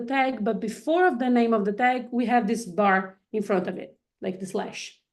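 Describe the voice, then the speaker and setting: A woman with a Portuguese accent talks at a moderate pace in a high pitch. The background is quiet. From Brazil. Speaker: coding instructor. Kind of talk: online workshop tutorial. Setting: live video stream with screen share. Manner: hesitant, many fillers and restarts.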